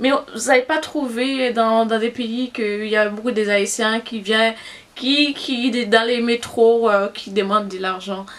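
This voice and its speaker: Against noticeable background noise, a woman with a Haitian accent speaks very slowly at a fairly high pitch with fairly even intonation. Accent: Haitian Creole accent in French. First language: Haitian Creole (speaking French). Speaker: beauty vlogger. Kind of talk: casual vlog talk. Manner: halting, many fillers.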